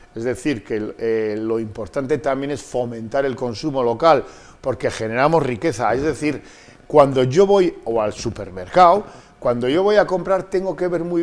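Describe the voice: With lively intonation and few pauses, a man talks at a moderate pace in a medium pitch.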